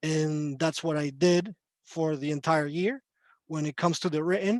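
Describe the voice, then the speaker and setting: Over a quiet background, a man with a Spanish accent speaks at a moderate pace and a fairly high pitch. His intonation is fairly even, and the sound is dry and close with no echo. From Chile. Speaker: court interpreter. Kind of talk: panel talk on video call.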